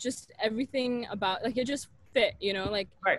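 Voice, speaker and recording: A woman's voice with an American accent, ordinary pitch variation and a dry sound with no echo. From US Pacific Northwest, Portland, Oregon; Oregon. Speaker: medical student; podcast guest. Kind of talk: casual interview chat. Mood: warm, enthusiastic. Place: garden. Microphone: earbuds.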